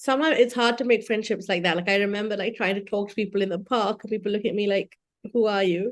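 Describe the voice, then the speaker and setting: A woman's medium-pitched voice in a British accent, with fairly even intonation and a very fast pace. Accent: British accent when speaking Sinhalese. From UK and Sri Lanka. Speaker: doctor. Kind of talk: casual chat.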